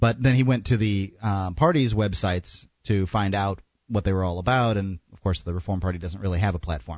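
Using a normal speaking voice, a man talks at a fairly quick pace with a fairly low pitch and ordinary pitch variation. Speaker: radio co-host. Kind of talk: casual radio chat.

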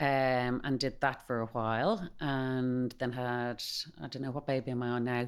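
With a Dublin accent, the speaker keeps a moderate pace and fairly even intonation. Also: woman. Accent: Dublin Irish. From Dublin, Ireland. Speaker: company managing director, former brand ambassador. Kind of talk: interview, casual chat.

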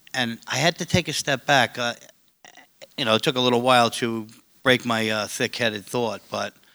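A man with a New York accent speaks at a moderate pace and medium pitch, with ordinary pitch variation. His tone is bright and sharp, and the sound is dry and close with no echo. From Staten Island, New York. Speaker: recovery support worker. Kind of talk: panel discussion. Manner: loud.

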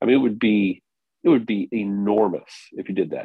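An ordinary speaking voice, ordinary pitch variation, moderate pace. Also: man. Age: 50s. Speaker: golf instructor. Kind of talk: casual chat.

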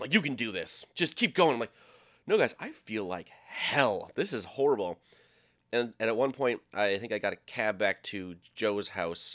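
Using a plain, everyday voice, a man with an American accent speaks at a medium pitch and moderate pace with lively intonation. The recording is very clean, with a silent background. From Minnesota. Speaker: sports TV production worker. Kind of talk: storytelling.

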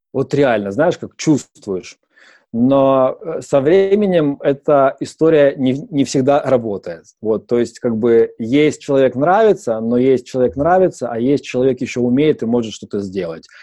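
A man's normal speaking voice at medium pitch, fairly slow, with lively intonation. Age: 30s. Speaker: startup founder. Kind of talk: interview. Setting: studio.

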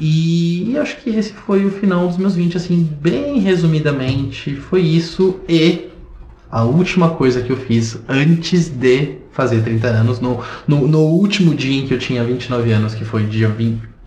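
Noticeable background noise and audible room echo around a fairly slow delivery with lively intonation. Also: man, fairly high pitch for a man. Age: 30s. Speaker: podcast co-host. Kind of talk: casual chat.

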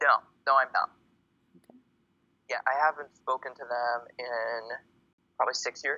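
A man with an American accent at a moderate pace, with big swings in loudness and long, frequent pauses. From US Northeast, Boston. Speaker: poet and student. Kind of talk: interview. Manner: halting.

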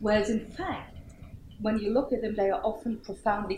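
Fairly quick speech from a woman, noticeable background noise behind her. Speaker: security studies scholar. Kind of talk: panel discussion.

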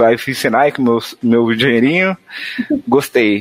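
Lively intonation marks this man's delivery at a moderate pace. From São Paulo, Brazil, Northeastern parents. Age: 20s. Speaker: software developer. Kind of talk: casual chat.

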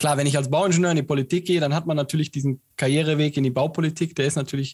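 Music plays in the background behind a man. His fairly high pitch stays in fairly even intonation. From Siegen, Germany. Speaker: podcast co-host. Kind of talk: interview.

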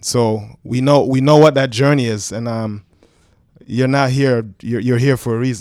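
A man talks at a medium pitch with fairly even intonation. His is a plain, everyday voice. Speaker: track and field coach. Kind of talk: casual chat. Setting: studio.

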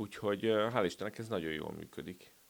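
He has a plain, everyday voice, pitched fairly low. The man keeps a moderate pace. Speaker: sports journalist. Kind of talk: casual sports discussion.

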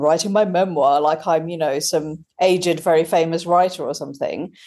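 Here a woman speaks with a British accent. Her pitch is fairly low. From Britain, British Indian family. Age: 40s. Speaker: author and science journalist. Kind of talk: interview. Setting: at home.

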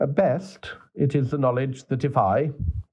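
The man's voice is somewhat breathy. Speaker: clergyman reading his own column. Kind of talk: literary audiobook reading of an essay. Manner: measured, formal, earnest.

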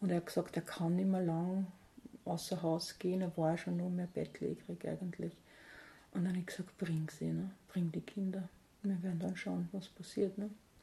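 A woman with an Austrian accent speaks at a moderate pace in a dark, mellow, somewhat breathy voice with fairly low pitch, monotone, flat intonation and long, frequent pauses. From Austria, St. Pölten (Lower Austria). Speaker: food bank founder. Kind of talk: interview.

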